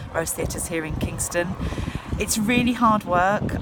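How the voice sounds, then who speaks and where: Spoken with a southern English accent and ordinary pitch variation, the clip has audible room echo and noticeable background noise. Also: woman. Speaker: choir leader. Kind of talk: casual vlog monologue. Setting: outdoors on a kayak under a pontoon.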